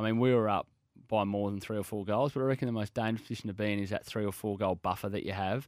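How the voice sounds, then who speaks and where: A man with an Australian accent speaks very fast in a fairly low voice with fairly even intonation, on a very clean recording with a silent background. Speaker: football coach. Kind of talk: radio interview. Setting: studio. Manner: laid back.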